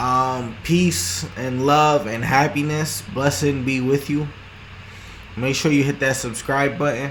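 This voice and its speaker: A man's medium-pitched voice at a very slow pace, ordinary pitch variation, audible room echo. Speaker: vlogger. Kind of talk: casual monologue. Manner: halting, many repetitions and restarts; rambling mumbling.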